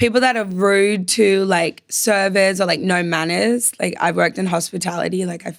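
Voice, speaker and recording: A woman with an Australian accent speaks at a moderate pace and medium pitch, with fairly even intonation and hardly any pauses. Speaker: reality TV contestant. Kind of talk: casual chat.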